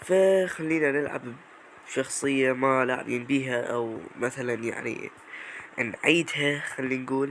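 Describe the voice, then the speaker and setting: The speech moves at a very slow pace amid noticeable background noise. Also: man, medium pitch for a man, ordinary pitch variation. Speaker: gaming YouTuber. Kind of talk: gameplay commentary. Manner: animated.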